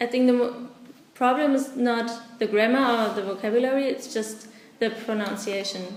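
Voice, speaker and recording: A woman with a German accent, fairly high pitch and fairly even intonation at a moderate pace, amid audible room echo and noticeable background noise. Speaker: volunteer English teacher. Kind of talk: interview. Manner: halting.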